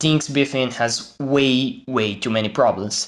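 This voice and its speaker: A man's pitch varies in an ordinary way as he talks over a quiet background. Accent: Portuguese. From Brazil. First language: Portuguese. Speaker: gaming YouTuber. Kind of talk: video commentary. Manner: halting.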